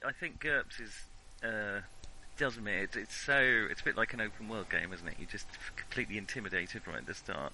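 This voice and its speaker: A man with a British accent talks at a fairly quick pace and a fairly low pitch, using ordinary pitch variation and long, frequent pauses. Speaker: tabletop game player. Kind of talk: casual chat.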